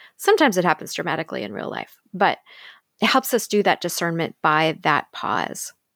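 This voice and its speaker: A woman's fairly low voice with vocal fry at a fairly quick pace, in a very clean recording with a silent background. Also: big swings in loudness. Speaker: church minister podcast host. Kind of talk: interview conversation.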